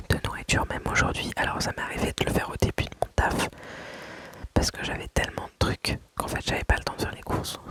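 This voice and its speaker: A woman whispers at a fairly quick pace in a dry, close sound with no echo, with noticeable background noise behind her. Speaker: ASMR creator. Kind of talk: casual talk to camera, budgeting story time. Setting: home recording with dishwasher noise in background. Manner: soft-spoken, calm, relaxing, not whispered.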